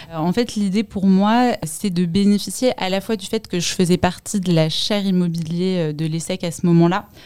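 A woman with a dark, mellow tone speaks at a moderate pace, medium in pitch and with ordinary pitch variation. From Paris, France. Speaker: fund management analyst. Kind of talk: interview testimony.

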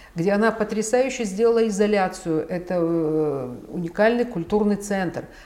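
A woman at a fairly slow pace, with ordinary pitch variation and noticeable background noise. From Ukraine, Kyiv. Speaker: art collector and patron. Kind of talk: interview. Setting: at her home.

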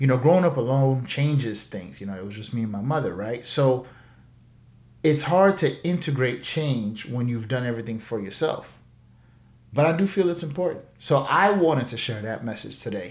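With lively intonation and big swings in loudness, a man at a medium pitch talks at a moderate pace and sounds somewhat breathy. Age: 30s. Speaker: financial coach podcast host. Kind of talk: solo podcast monologue.

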